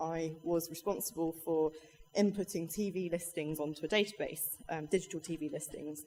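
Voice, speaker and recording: A woman with an English accent and a fairly low pitch. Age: 30s. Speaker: freelance journalist and dyspraxia advocate. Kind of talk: conference talk. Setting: stage with audience. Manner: hesitant, many fillers.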